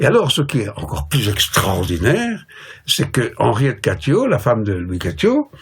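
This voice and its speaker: Over noticeable background noise, a man speaks at a fairly slow pace in a medium pitch with very wide pitch swings. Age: 70s. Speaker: professor and translator. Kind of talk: interview. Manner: hesitant, many fillers.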